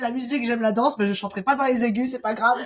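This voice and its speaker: This woman talks very fast. Her intonation is lively. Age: 20s. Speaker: sports coach. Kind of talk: podcast interview. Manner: hesitant with fillers.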